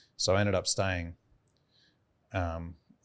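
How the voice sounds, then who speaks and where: With an Australian accent, a man speaks in a very deep, low pitch and monotone, flat intonation on a very clean recording with a silent background. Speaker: beef farmer and entrepreneur. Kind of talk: casual interview chat.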